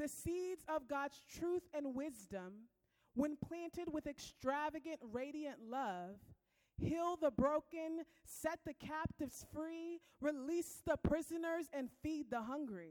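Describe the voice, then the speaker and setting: The sound is dry and close with no echo as a woman speaks at a very slow pace. Her pitch is high and her intonation lively. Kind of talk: spoken word poetry, devotional. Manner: rhythmic, fervent, incantatory; uplifting, exhortational, with repeated refrains.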